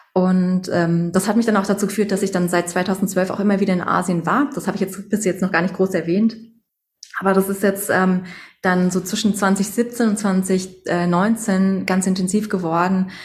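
A woman's somewhat breathy, medium-pitched voice at a moderate pace, with monotone, flat intonation. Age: 30s. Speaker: doctor and sound therapist. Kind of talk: interview.

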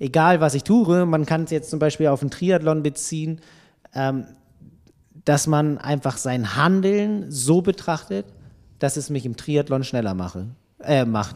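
In a very clean recording with a silent background, a man speaks at a fairly slow pace with lively intonation and long, frequent pauses. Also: fairly high pitch for a man. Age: 30s. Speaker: triathlon magazine editor. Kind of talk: casual chat.

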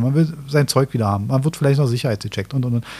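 Somewhat breathy and dark, mellow in tone, a man's medium-pitched voice moves at a very fast pace. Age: 40s. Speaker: podcast host. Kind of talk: casual chat.

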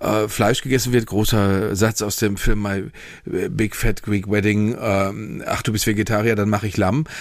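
A man speaks at a moderate pace. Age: middle-aged. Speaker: podcast co-host. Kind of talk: casual chat. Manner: halting, many fillers and repetitions.

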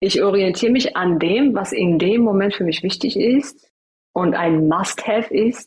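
At a very slow pace, a somewhat breathy woman with an Iranian accent speaks at medium pitch with ordinary pitch variation. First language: Farsi (speaking German). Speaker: coach and trainer. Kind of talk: interview.

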